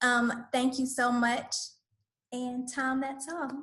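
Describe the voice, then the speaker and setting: A woman speaks in an Atlanta accent with a bright, sharp tone and high pitch. Her intonation is monotone and flat. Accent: Southern US (Atlanta). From US South, Atlanta, Georgia. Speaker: community school director, dance facilitator. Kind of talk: online workshop presentation.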